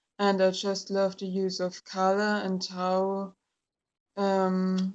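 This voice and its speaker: A woman talks at a very slow pace. She speaks with a German accent. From Germany. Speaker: tarot YouTuber. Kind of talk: casual product review. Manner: hesitant, many fillers.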